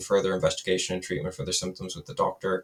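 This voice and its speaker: Here is a man with an Irish accent. His pitch sits fairly low. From west of Ireland. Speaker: data and AI developer. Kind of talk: software demo. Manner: casual, hesitant with fillers.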